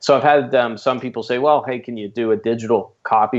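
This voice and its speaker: A man's very fast delivery with fairly even intonation. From Canada. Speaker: business coach. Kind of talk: podcast interview.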